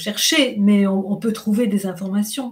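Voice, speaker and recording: A woman's somewhat breathy, medium-pitched voice at a very slow pace. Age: 60s. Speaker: menopause health practitioner. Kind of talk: interview.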